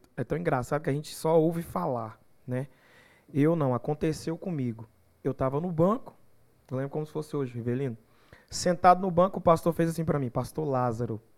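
Fairly high in pitch with ordinary pitch variation, a man speaks at a fairly quick pace yet leaves long, frequent pauses. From Goiás, Brazil (São Miguel do Araguaia). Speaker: gospel singer. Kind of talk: casual chat.

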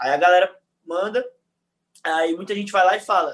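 Raising and projecting his voice, a man speaks in a bright, sharp tone. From Rio de Janeiro, Brazil. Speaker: football fan social media creator. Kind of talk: casual chat.

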